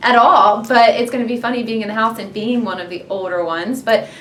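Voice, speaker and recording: A woman with an American accent talks at a fairly quick pace over noticeable background noise. Her pitch is fairly high and rises and falls in an ordinary way. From US South, Georgia (Marietta). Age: 30s. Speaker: reality TV contestant. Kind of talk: interview. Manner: loud, excitable.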